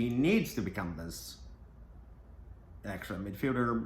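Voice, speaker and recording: Lively in intonation yet fairly slow, a man speaks with vocal fry at a fairly low pitch, with audible room echo. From Brazil. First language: Portuguese. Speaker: football podcaster. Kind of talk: casual commentary monologue.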